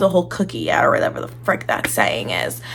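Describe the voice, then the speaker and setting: A woman speaks in an animated tone. Noticeable background noise runs beneath her. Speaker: book reviewer. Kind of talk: casual chat.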